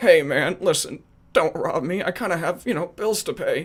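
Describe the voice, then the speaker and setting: This put-on character voice sits at a middle pitch and moves at a moderate pace. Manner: weary, defeated, pleading.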